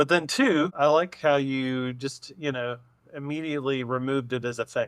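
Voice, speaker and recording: A man with a normal speaking voice talks at a moderate pace, his fairly high pitch carried by fairly even intonation. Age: 40s. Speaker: podcast co-host. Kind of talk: casual chat.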